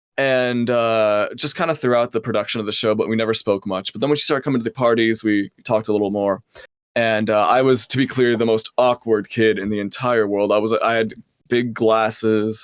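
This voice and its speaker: With a dry, close sound and no echo, a man speaks in a plain, everyday voice at medium pitch and a moderate pace. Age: 20s. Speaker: podcast co-host. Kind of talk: casual chat.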